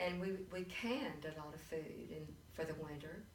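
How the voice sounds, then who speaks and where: Over noticeable background noise and audible room echo, a woman speaks fairly slowly at a fairly low pitch with ordinary pitch variation. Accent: Texan. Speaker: grandmother interviewed about history. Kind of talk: oral history interview.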